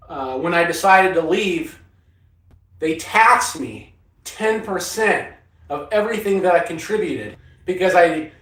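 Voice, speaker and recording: A man with an American accent speaks at a fairly slow pace in a high pitch, with ordinary pitch variation and audible room echo. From Northern California. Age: 60s. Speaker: off-grid living vlogger, former Marine. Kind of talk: casual livestream chat answering viewers. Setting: inside a cargo trailer.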